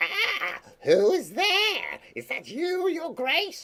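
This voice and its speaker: The speaker puts on a character voice, pitched extremely high and delivered very slowly. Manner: startled, shaky.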